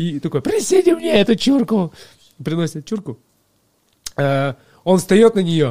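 Pausing long and often, a man with a high pitch and a dark, mellow tone moves at a very slow pace. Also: lively intonation, dry, close sound with no echo. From Russia, village near Krasnoyarsk. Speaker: chef and cooking video blogger. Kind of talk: casual chat.

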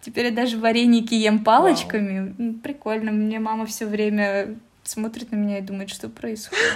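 Intonation here is fairly even. There is a somewhat breathy quality to the voice. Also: woman, fairly high pitch for a woman, moderate pace. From Russia, Omsk. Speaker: translator and office specialist at a Korean firm. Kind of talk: casual interview.

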